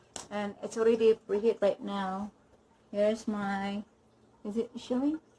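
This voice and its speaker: Speaking in a Filipino accent at a fairly slow pace, a woman with a medium pitch and a dark, mellow, somewhat breathy tone keeps a fairly even intonation, with big swings in loudness and long, frequent pauses. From Philippines. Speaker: cooking channel host. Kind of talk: cooking tutorial. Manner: halting, self-correcting.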